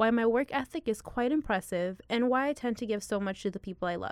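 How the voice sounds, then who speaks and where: A woman with an American accent speaks at a very fast pace with ordinary pitch variation. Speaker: college student. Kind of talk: scripted narration.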